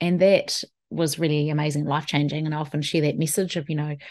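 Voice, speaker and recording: A woman speaks at a very fast pace with a New Zealand accent. Her pitch is very deep and low, against a quiet background. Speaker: wellbeing specialist and keynote speaker. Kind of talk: solo podcast talk.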